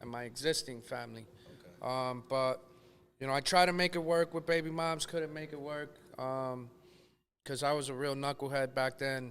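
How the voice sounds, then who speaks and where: Here is a man with an American accent and an unremarkable speaking voice, pitched fairly high. His intonation is fairly even and his pace moderate. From New Jersey. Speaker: sneaker store owner. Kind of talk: podcast interview.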